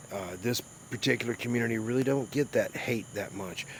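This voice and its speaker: Against noticeable background noise, a man with a Southern US accent talks at a fairly quick pace, his fairly low pitch held in fairly even intonation. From US South. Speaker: YouTuber live streamer. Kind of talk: casual live stream chat.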